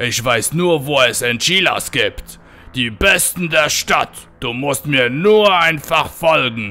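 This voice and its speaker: A man performs a put-on character voice. Music plays in the background. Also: fairly high pitch for a man, fairly slow pace. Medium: read story. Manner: salesy, addresses everyone as amigo.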